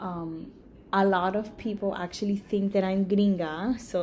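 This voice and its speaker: A woman with a medium pitch speaks at a moderate pace using fairly even intonation. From Miami, Florida (Cuban-Nicaraguan family). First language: Spanish. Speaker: emergency room nurse. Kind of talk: class presentation. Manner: casual, many fillers.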